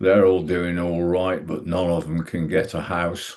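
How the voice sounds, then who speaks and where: A man's very deep, low-pitched voice. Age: 70s. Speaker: retired teacher, party candidate. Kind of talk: campaign speech.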